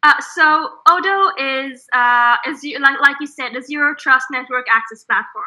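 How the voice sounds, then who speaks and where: With an Israeli accent and a high pitch, a woman speaks at a moderate pace with hardly any pauses, big swings in loudness and ordinary pitch variation. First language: Hebrew. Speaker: startup co-founder. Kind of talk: interview.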